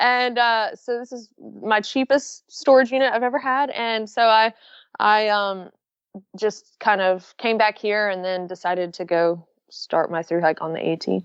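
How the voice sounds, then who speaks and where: Speaking in a strong Southern US accent, a woman has a fairly high pitch with ordinary variation. She talks at a fairly slow pace. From Florida and Alabama. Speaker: backpacker and YouTuber. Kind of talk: interview. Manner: easy-going.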